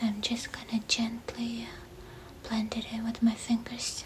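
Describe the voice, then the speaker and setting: A woman's whisper at a fairly slow pace. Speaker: makeup tutorial host. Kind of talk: tutorial. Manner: soft, hushed ASMR voice. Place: home room.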